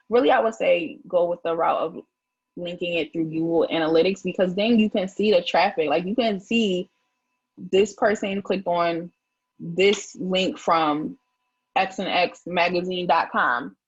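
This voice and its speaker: A woman speaks fairly slowly in a medium pitch, her voice somewhat breathy. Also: ordinary pitch variation. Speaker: publicist. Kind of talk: live stream tutorial. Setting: live stream. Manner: casual, filler-heavy.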